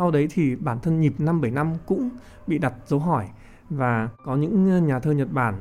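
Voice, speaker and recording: A man has a plain, everyday voice at a fairly high pitch with lively intonation. He keeps a moderate pace and very even loudness. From Vietnam. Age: 30s. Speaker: poet and physics teacher. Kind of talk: interview discussion.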